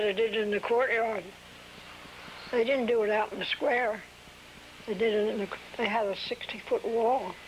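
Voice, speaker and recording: A woman with an American accent at a moderate pace, fairly even intonation, long, frequent pauses and noticeable background noise. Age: 80s+. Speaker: oral history interviewee. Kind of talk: oral history interview. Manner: halting.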